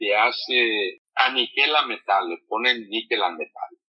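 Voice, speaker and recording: A man at a fairly slow pace. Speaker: immigrant, former factory manager. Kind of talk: interview testimony.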